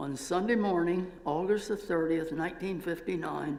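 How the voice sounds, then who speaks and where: A man speaks at a moderate pace in a fairly high voice, with audible room echo around him. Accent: American. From Pennsylvania. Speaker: retired professor. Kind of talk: church talk.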